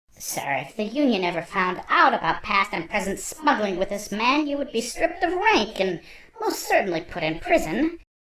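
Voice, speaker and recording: Putting on a character voice, a woman speaks at a moderate pace with a fairly high pitch and very wide pitch swings. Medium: audio drama. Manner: formal, proper.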